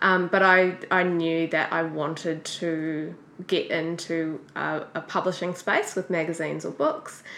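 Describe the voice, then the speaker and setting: A woman speaks in a New Zealand accent with fairly low pitch. Her pace is fairly slow and her intonation monotone and flat. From New Zealand, Auckland. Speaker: graphic designer. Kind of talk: interview.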